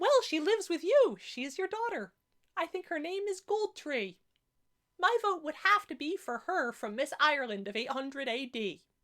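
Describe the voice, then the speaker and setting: Squeaky and high-pitched, a woman performs a put-on character voice with very wide pitch swings. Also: moderate pace. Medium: solo performance. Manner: careful, hesitant.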